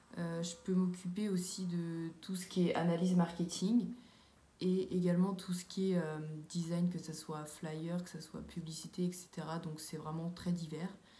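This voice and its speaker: A woman speaks at a fairly slow pace in a fairly low voice with monotone, flat intonation. Audible room echo surrounds her. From France, Sarthe (near Le Mans). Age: 20s. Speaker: civic service volunteer, student. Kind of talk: testimony. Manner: hesitant, many fillers.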